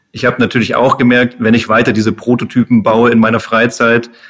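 Here is a man with a normal speaking voice at medium pitch. He talks at a fairly quick pace. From Munich, Bavaria. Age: 30s. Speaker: engineer, startup founder. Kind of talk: podcast interview.

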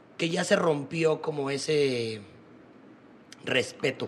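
The speaker talks at a very slow pace with ordinary pitch variation. Noticeable background noise sits behind the voice. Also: man. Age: 20s. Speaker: podcast host. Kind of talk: casual chat.

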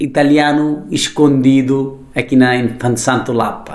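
Speaking very slowly with a Nepali accent, a man is heard with audible room echo. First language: Nepali (speaking Portuguese). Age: 40s. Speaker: chef and restaurateur. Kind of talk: interview. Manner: halting.

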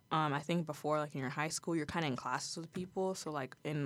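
The recording is very clean, with a silent background. A woman speaks at a very deep, low pitch with ordinary pitch variation. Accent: American. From Ohio, US Midwest (Toledo area). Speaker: college student, student journalist. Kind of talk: casual interview.

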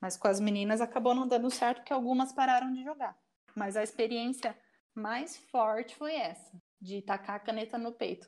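Here is a woman with a normal speaking voice and fairly high pitch. Her pace is moderate and her pitch varies in an ordinary way. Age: 30s. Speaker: volleyball coach, former athlete. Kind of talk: casual interview.

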